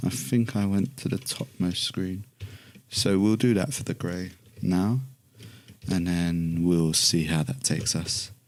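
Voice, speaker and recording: A man with a British accent, very deep, low pitch, ordinary pitch variation and a relaxed tone, at a fairly slow pace with long, frequent pauses. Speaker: illustrator. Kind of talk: tutorial. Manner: casual, relaxed.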